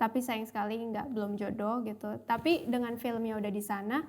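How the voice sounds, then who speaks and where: Fairly even intonation from a woman with a fairly high pitch. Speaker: film actress. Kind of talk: casual interview chat.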